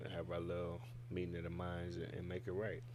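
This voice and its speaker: Audible room echo surrounds a man with a Detroit accent whose pitch varies in an ordinary way. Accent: Midwest (Detroit). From Fort Worth, Texas. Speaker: rapper. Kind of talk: casual interview. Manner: laid back.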